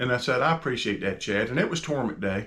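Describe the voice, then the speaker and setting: A man speaks with lively intonation in a medium-pitched voice that has a bright, sharp tone. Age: 60s. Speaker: bass fishing angler and channel host. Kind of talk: casual talk to camera on faith. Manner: conversational with self-corrections.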